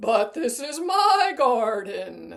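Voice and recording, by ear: The voice sounds female and is a put-on character voice. Its pitch is high for a woman.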